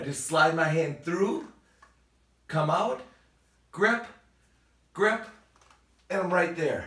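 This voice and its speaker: With noticeable background noise and audible room echo, a man speaks at a high pitch with ordinary pitch variation. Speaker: fitness trainer. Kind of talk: exercise tutorial. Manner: fast; animated.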